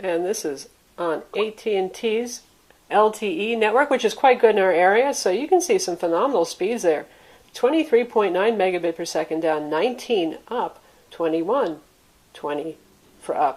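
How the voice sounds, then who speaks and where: A woman with an American accent, medium pitch and very wide pitch swings. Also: moderate pace. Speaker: tech reviewer. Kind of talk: product review.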